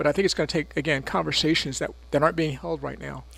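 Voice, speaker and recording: A man with an American accent speaks in a normal speaking voice, fairly high in pitch, with fairly even intonation on a very clean recording with a silent background. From North Carolina, Chapel Hill. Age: 60s. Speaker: city mayor. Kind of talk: radio interview.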